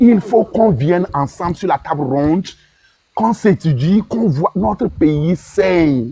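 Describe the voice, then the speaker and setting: Here a man speaks in a high pitch with a dark, mellow tone. His intonation is lively and his pace fairly slow. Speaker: participant in political online discussion. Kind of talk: impassioned speech in group discussion. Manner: emotional, repetitive with stammering.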